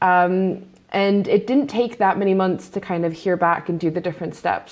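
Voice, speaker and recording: Her voice is a normal speaking voice with a fairly low pitch. The woman keeps a moderate pace and fairly even intonation. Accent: American. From Hong Kong. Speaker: data scientist. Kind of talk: panel interview.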